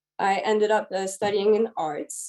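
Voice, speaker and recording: The woman's tone is dark and mellow, and she speaks at a moderate pace. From DR Congo. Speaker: gemologist. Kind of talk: webinar presentation. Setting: online webinar. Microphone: connection may cut off.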